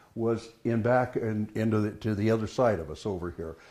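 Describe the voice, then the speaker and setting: A man talks with a dark, mellow tone. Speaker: rancher's great-grandson giving a house tour. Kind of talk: guided tour talk. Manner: hesitant, conversational.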